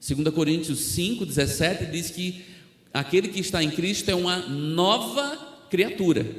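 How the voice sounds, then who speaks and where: With audible room echo around him, a man with a high pitch speaks at a fairly slow pace and with lively intonation. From Brazil, Alagoas (Northeast), near Maceió. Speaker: missionary preacher. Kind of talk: sermon.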